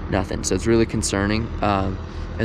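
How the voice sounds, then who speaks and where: Despite noticeable background noise, a man with a fairly low pitch can be heard speaking at a very fast pace. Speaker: fishing vlogger. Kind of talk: outdoor vlog commentary. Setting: outdoors by a mountain lake. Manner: halting.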